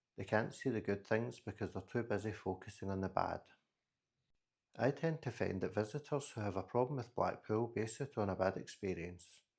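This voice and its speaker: At a fairly quick pace, a man speaks with a Scottish accent, a fairly low pitch and ordinary pitch variation. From Scotland. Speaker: podcast host. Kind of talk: solo podcast monologue.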